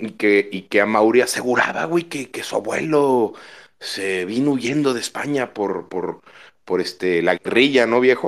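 In a very clean recording with a silent background, a man speaks fairly slowly at a medium pitch, animated in tone and lively in intonation. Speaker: football fan. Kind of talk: casual chat.

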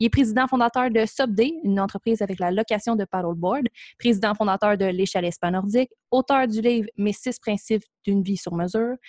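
Speaking in a Quebec accent, a woman moves at a fairly quick pace with a fairly high pitch and ordinary pitch variation. The sound is dry and close, with no echo. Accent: Québécois French. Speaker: podcast host. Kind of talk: scripted introduction; casual interview.

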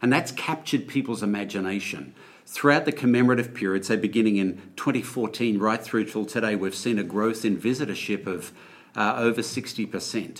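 With a normal speaking voice, the man talks at a moderate pace, his fairly low pitch showing ordinary variation. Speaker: museum president. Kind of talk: interview. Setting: on location at a museum.

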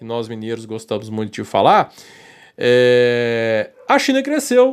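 In a very clean recording with a silent background, a man is speaking. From Brazil, Minas Gerais. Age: 40s. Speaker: political commentator. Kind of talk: opinion commentary monologue. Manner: heated, animated.

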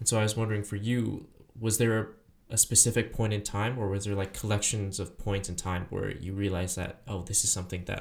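Somewhat breathy, a man talks at a fairly low pitch with monotone, flat intonation. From Taiwan. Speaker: podcast host. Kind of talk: casual interview chat.

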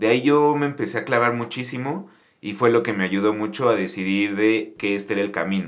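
A man's medium-pitched voice with a Mexico City accent, fairly quick, with ordinary pitch variation. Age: 30s. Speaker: restaurant entrepreneur. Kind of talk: casual interview.

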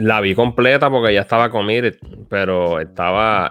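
With a Puerto Rican accent, a man speaks in lively intonation. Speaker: podcast co-host. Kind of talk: casual chat.

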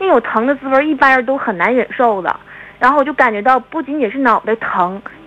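Lively in intonation, a woman speaks fairly quickly in a high voice over noticeable background noise. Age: 20s. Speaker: caller. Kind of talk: phone-in personal story. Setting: phone call.

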